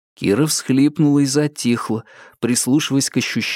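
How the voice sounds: Someone reads aloud in a natural reading voice.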